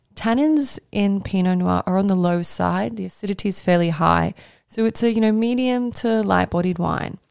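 A plain, everyday voice with lively intonation speaks at a moderate pace on a very clean recording with a silent background. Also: woman, medium pitch for a woman. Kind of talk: casual educational monologue. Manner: casual, chatty, laughs often.

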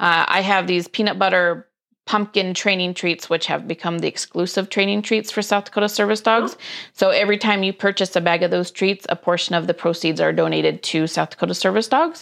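A woman's voice, an ordinary speaking voice, at a medium pitch and fairly quick pace, with very even loudness and a quiet background. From US, various places (Air Force brat). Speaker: small business owner, dog treat baker. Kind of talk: casual interview.

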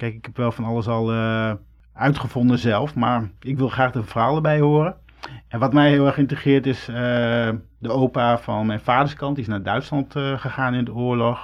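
A man talks in a normal speaking voice at a medium pitch. His pace is moderate and his intonation fairly even. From Netherlands, Groningen. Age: 40s. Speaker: podcast host, radio maker. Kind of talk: interview.

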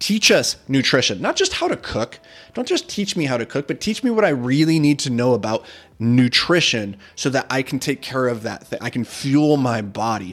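Lively intonation runs through a man's medium-pitched voice. It is an ordinary speaking voice. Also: moderate pace. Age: 30s. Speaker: podcast host and real estate investor. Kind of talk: casual solo podcast monologue. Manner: casual, repeats words often.

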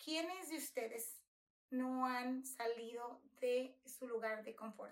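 A woman speaks in a high voice. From Mexico, Nayarit (rural, near Tepic). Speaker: podcast host. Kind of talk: podcast monologue introduction.

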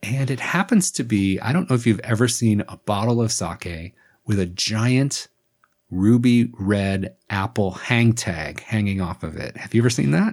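Here is a man with a normal speaking voice at medium pitch. His intonation is lively. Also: moderate pace, very clean recording, silent background. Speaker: sake educator, podcast host. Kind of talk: casual chat.

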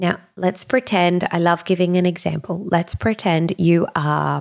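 A woman with an Australian accent, fairly low-pitched, at a fairly slow pace. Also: dry, close sound with no echo. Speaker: podcast host and business coach. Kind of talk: solo podcast monologue. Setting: studio. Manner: animated.

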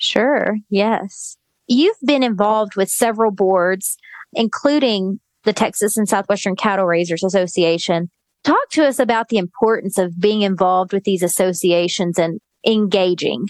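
Recorded dry and close with no echo, a woman speaks in an unremarkable speaking voice at medium pitch and a moderate pace, with very even loudness and ordinary pitch variation. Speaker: podcast host. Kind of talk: interview, casual chat.

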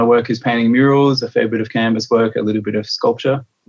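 A man's medium-pitched voice in a monotone, flat intonation, with an Australian accent. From Adelaide, South Australia. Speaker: mural artist. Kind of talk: interview. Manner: hesitant, with fillers.

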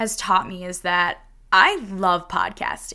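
The woman's voice has a bright, sharp tone. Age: 20s. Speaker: podcast host. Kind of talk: podcast monologue.

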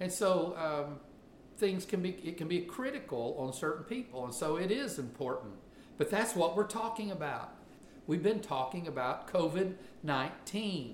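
In a Southern US accent, a man with a high pitch talks at a moderate pace with lively intonation, and audible room echo can be heard. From US South. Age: 50s. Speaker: pastor. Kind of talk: sermon.

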